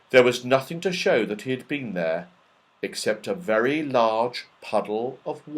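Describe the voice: Plain reading aloud carries lively intonation.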